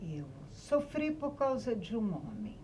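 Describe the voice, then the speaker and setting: A woman at a very slow pace with very wide pitch swings, audible room echo and noticeable background noise. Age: 60s. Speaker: writer. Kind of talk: podcast interview.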